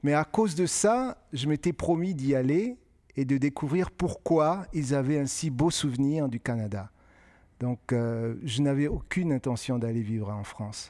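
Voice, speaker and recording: A man speaks at a fairly slow pace with a fairly high pitch, a dark, mellow tone, and lively intonation, recorded very cleanly against a silent background. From West Africa (Benin, Côte d'Ivoire). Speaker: author. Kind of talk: interview before a live audience.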